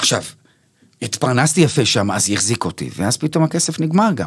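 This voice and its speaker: Talking at a fairly quick pace, a man with a fairly high pitch lets vocal fry come through. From Israel, Bnei Brak. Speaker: actor and stand-up comedian. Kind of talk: casual interview.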